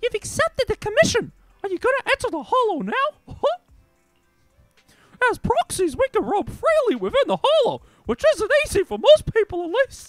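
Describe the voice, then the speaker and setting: In a put-on character voice, a man speaks with an extremely high pitch at a moderate pace. Long, frequent pauses break up his speech, and faint music plays in the background. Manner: exaggerated acted voice.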